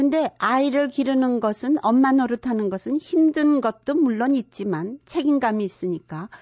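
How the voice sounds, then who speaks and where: Pitched high, a woman speaks at a moderate pace with lively intonation. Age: 70s. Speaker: counselor. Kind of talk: lecture.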